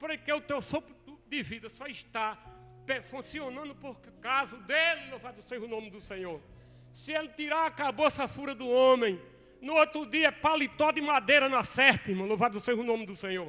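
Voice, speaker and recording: Over music in the background, a man uses a raised, projected voice at an extremely high pitch, speaking at a moderate pace with ordinary pitch variation and big swings in loudness. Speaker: preacher. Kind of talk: sermon.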